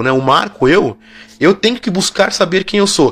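The man's voice sits high in pitch, and his intonation is lively. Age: 40s. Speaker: podcast host. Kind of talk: reflective monologue.

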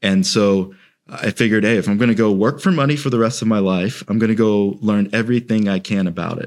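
Here is a man with an American accent and an unremarkable speaking voice, fairly low in pitch. He talks at a fairly quick pace with fairly even intonation on a very clean recording with a silent background. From UK childhood, then Central Florida. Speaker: wealth manager. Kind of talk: interview.

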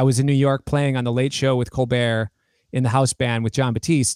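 A man with an American accent speaks in an ordinary speaking voice at medium pitch and a moderate pace, the sound dry and close with no echo. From United States. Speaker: guitarist and musician. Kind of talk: casual interview chat.

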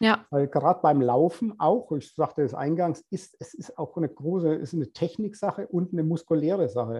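A man with a plain, everyday voice speaks at a fairly quick pace in a fairly high pitch, his intonation lively and his speech hardly broken by pauses. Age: 50s. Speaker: personal trainer. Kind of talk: casual interview.

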